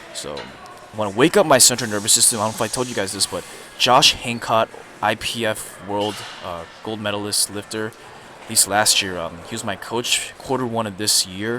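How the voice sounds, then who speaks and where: A man with a fairly low pitch, amid noticeable background noise. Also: ordinary pitch variation, big swings in loudness. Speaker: fitness vlogger. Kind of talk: voice-over commentary. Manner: fast; casual.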